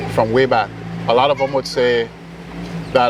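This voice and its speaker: With a Caribbean accent, a man talks at a fairly quick pace amid noticeable background noise. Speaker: musician. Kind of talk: interview.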